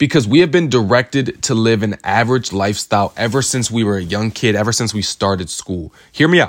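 In a very clean recording with a silent background, a man speaks at a medium pitch and moderate pace, animated in tone with lively intonation. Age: 20s. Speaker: motivational podcast host. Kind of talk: solo motivational monologue. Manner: animated, repetitive emphasis.

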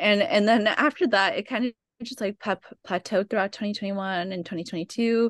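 A woman with an American accent speaks fairly quickly with ordinary pitch variation. The sound is dry and close with no echo, over a quiet background. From California, Oxnard. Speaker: artist and traveler. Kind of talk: interview.

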